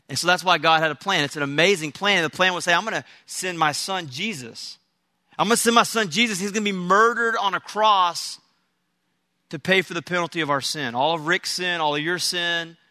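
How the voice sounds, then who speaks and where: Against a quiet background, a man with an American accent talks at a fairly quick pace, his high pitch carrying a bright, sharp tone and ordinary pitch variation. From Texas. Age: 30s. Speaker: pastor. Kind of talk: sermon. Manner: halting.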